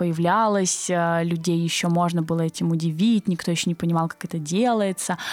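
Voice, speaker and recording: Here a woman speaks in a plain, everyday voice at a moderate pace. Her pitch is fairly low and her intonation fairly even. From southern Russia, Krasnodar Krai. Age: 20s. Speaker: agency co-founder. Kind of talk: interview.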